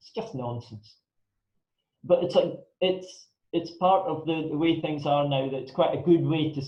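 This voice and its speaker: This man has a northern Scottish accent. His pitch is fairly high. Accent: Scottish (north). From northern Scotland (Elgin area). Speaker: pandemic planning consultant, guest speaker. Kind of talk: talk to a club audience.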